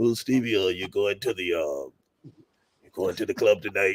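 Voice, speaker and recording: A man puts on a character voice at a fairly low pitch. His pace is moderate. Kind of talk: casual, colloquial.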